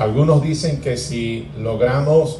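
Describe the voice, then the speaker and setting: The speech moves at a very slow pace with ordinary pitch variation. Audible room echo and noticeable background noise surround it. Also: man. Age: 60s. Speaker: pastor. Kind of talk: sermon.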